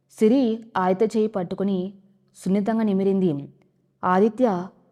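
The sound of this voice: Fairly even intonation in an unforced reading voice, quiet background behind it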